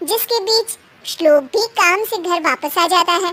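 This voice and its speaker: A woman puts on a squeaky character voice at an extremely high pitch. She keeps a moderate pace with ordinary pitch variation. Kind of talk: children's cartoon story narration. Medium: cartoon.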